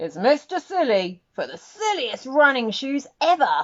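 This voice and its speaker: A woman puts on a character voice, pitched high. She swings her pitch very widely at a moderate pace. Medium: read story. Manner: stately, announcing.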